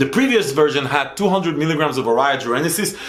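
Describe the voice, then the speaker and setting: In an animated tone, a man with a fairly high pitch and lively intonation talks at a fairly quick pace amid audible room echo. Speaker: supplement reviewer. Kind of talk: product review. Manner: fast.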